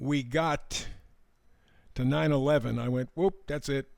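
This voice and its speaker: Here a man talks with an American accent in a fairly high pitch. The recording is very clean and the background silent. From US Midwest, Detroit. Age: 70s. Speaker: tarot reader. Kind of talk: spiritual monologue.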